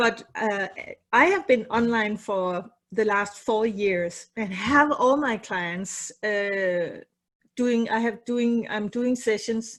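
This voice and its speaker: A woman with a non-native accent speaks at a very slow pace and a fairly high pitch. Her intonation is fairly even against a quiet background. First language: not English. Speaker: psychotherapist. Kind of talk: casual chat. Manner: halting.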